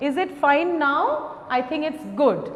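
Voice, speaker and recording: Amid noticeable background noise and audible room echo, a woman speaks at a very slow pace. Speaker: school teacher. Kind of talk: online lesson for children.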